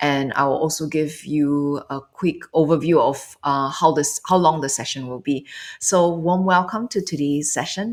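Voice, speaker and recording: A woman with a Singaporean accent speaks in a calm tone at a very deep, low pitch, at a moderate pace with ordinary pitch variation and hardly any pauses. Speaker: meditation and mindfulness coach. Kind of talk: guided meditation circle livestream, casual instruction. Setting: online livestream. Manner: calm, hesitant with fillers.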